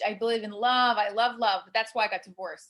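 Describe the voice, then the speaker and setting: Her tone is animated. The woman's voice sits fairly high in pitch. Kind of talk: interview podcast. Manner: animated, many fillers.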